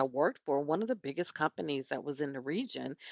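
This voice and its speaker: A woman speaks with a Southern US accent. Her tone is animated. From US South. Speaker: podcast host and business owner. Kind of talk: podcast monologue. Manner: conversational, animated.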